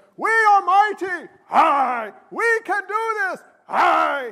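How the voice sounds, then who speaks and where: At a very slow pace, a man uses a put-on character voice pitched extremely high. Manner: boastful.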